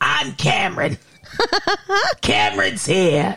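A raspy put-on character voice at a low-to-middle pitch and a fairly slow pace

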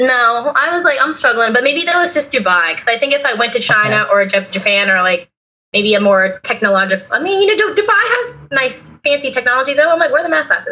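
Her voice raised and projected, a woman speaks at a very fast pace and a high pitch, with very wide pitch swings, very even loudness and hardly any pauses. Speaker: travel blogger. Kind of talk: casual chat. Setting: remote call.

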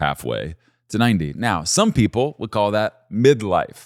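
A man with an ordinary speaking voice talks at a fairly low pitch with lively intonation. The recording is very clean, with a silent background. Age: 40s. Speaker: pastor. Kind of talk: podcast sermon-style teaching monologue. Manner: casual, conversational.

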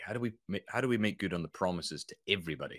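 On a very clean recording with a silent background, a man with a slight Scottish accent speaks with ordinary pitch variation. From Scotland, near Edinburgh. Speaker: business consultant and author. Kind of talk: casual interview chat.

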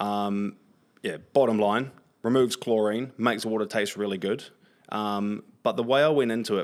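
In a New Zealand accent, a man speaks at a fairly low pitch and a moderate pace. His intonation stays fairly even. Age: 30s. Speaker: content creator and marketer. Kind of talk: podcast interview. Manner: expressive, frequent swearing.

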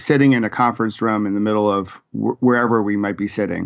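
An unremarkable speaking voice from a man, pitched fairly low, fairly even in intonation and moderate in pace. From western New York (Rochester). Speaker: executive business coach and author. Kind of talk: interview.

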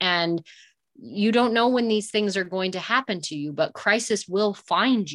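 With an American accent, a woman speaks fairly slowly at a medium pitch in an unremarkable speaking voice, her pitch varying in an ordinary way. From US West, Northern California. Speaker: rancher. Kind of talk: interview. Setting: remote call while traveling.

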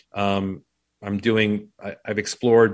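Here a man speaks with a fairly low voice. The recording is very clean, with a silent background. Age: 40s. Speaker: business coach and former Marine. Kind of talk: casual interview chat. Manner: halting, many false starts.

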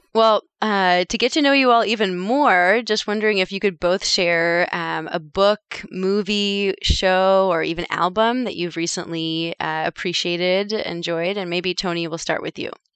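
A woman speaks at a medium pitch and a moderate pace, with hardly any pauses and ordinary pitch variation. The sound is dry and close with no echo, over a quiet background. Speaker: podcast co-host, physician. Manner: enthusiastic.

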